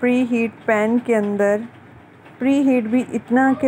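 Fairly even intonation over light background noise. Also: woman. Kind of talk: cooking tutorial. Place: kitchen.

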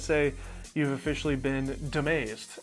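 A man talks at a moderate pace over faint background music. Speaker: video creator. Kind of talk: casual vlog chat. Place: home room. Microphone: lapel.

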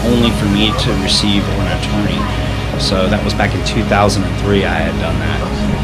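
Over loud background music, a man speaks at a fairly quick pace. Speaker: vlogger. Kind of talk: casual vlog chat. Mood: earnest personal storytelling. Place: home room. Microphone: phone near.

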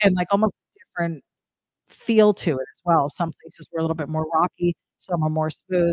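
A woman with an American accent and an unremarkable speaking voice talks at a fairly quick pace, fairly low in pitch with fairly even intonation, over a quiet background in a dry sound with no echo. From New Jersey. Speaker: live stream co-host. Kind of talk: casual chat. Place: home room. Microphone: echo on the stream; studio mic.

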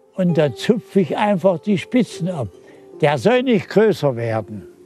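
Over faint music, with a dry sound and no echo, a man speaks very slowly in a high voice that swings very widely in pitch. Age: 80s+. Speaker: bonsai grower. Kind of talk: interview answer. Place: garden. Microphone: lapel.

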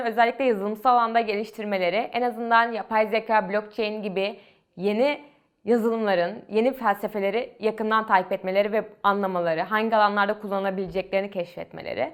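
Speaking at a fairly quick pace, a woman has an unremarkable speaking voice, a fairly high pitch and fairly even intonation. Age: 20s. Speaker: university student and startup founder. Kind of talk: interview monologue.

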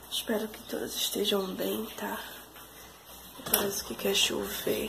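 A woman talks at a fairly slow pace, her loudness swinging widely, with noticeable noise in the background. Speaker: vlogger. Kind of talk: casual vlog talk. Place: kitchen. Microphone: phone near.

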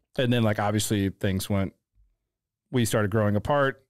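Against a quiet background, a man with an American accent speaks at a moderate pace and a fairly low pitch, the sound dry with no echo. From St. Louis, Missouri (North County); Missouri. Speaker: photographer; podcast guest. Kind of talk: casual chat. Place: studio. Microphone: studio mic.

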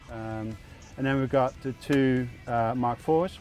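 Faint music plays in the background of a dry sound with no echo. A man speaks at a fairly slow pace with ordinary pitch variation. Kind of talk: tutorial. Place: open country. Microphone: lapel.

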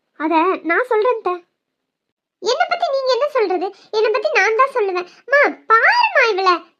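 A woman's cartoonish character voice, extremely high in pitch, with lively intonation and a fairly slow pace. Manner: flustered, stammering when cornered.

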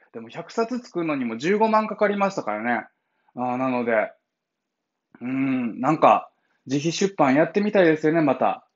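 A man with a Kansai accent, fairly high in pitch with very wide pitch swings, at a moderate pace against a quiet background. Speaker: blind founder of an advocacy group, livestreamer; livestreamer. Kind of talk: casual morning livestream monologue. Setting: live stream. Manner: casual, chatty with laughter. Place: home room. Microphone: phone near.

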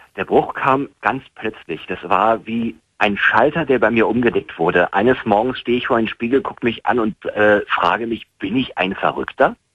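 The speech moves at a moderate pace with hardly any pauses and ordinary pitch variation. The background is quiet. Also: man, dry sound with no echo. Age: 30s. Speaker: caller, former Scientology member. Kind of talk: phone-in conversation. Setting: phone call. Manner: halting, many fillers. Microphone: phone line.

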